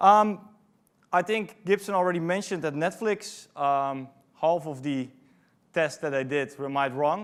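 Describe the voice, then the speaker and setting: A man with a Dutch accent, speaking at a fairly slow pace, with ordinary pitch variation. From Netherlands. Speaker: conference speaker, product manager. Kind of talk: conference talk. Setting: stage with audience. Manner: frequent fillers (um, uh).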